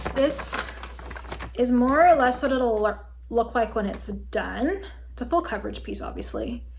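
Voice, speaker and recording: There is noticeable background noise and audible room echo as a woman speaks at a moderate pace with long, frequent pauses. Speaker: crafting video host. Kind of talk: casual chat.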